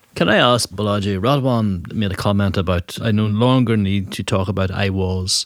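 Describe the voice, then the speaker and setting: Here a man speaks in an Irish accent. His pitch is fairly low and his intonation fairly even. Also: moderate pace, hardly any pauses. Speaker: podcast host. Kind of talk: casual chat.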